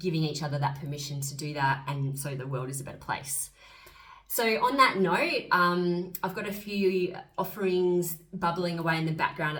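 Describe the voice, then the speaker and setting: Her voice is very deep and low, in an Australian accent with ordinary pitch variation. Noticeable background noise and audible room echo come through. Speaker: astrologer and spiritual coach. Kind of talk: casual vlog monologue. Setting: on camera, solo video. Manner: fast; animated.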